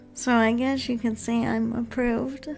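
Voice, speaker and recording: Soft-spoken and calm in tone, a woman talks at a high pitch with fairly even intonation while music plays in the background. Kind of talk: ASMR stream talk. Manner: slow, calm.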